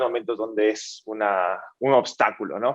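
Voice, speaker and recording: This speaker has an Ecuadorian accent and talks at a fairly slow pace. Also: man. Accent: Ecuadorian, people ask about it. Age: 20s. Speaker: startup founder and CEO. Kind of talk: panel interview.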